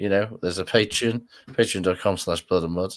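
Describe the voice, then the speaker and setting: The speaker is a man. He has a British accent. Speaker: rugby podcast host. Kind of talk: casual chat. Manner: hesitant, filler-heavy.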